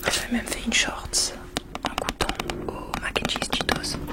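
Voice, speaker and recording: A woman is whispering at a very slow pace. Noticeable background noise can be heard. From England. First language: English (speaking French). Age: 30s. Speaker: ASMR creator. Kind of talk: ASMR show and tell.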